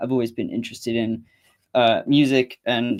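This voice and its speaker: The speaker has an East Anglian accent and ordinary pitch variation. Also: man. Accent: Cambridge English. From England, Cambridge. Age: 20s. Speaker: musician and channel owner. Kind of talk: solo livestream talk. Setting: home livestream with guitar amp. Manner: hesitant, with fillers and restarts.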